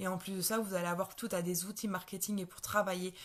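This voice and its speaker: A woman talks in a medium pitch, somewhat breathy, with monotone, flat intonation. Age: 20s. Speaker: network marketing seller. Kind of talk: sales pitch. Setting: live stream. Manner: halting, many fillers and repetitions.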